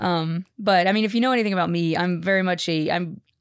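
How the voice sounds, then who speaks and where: On a very clean recording with a silent background, a woman uses an ordinary speaking voice at a fairly quick pace with fairly even intonation. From Texas. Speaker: podcast technician and former reporter and teacher. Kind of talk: casual interview chat.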